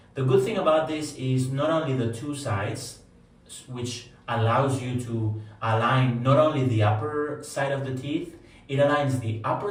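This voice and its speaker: With a Spanish accent, a man talks at a moderate pace and a medium pitch with ordinary pitch variation, amid noticeable background noise and audible room echo. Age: adult. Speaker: wellness vlogger. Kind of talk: personal testimony. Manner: hesitant, many fillers.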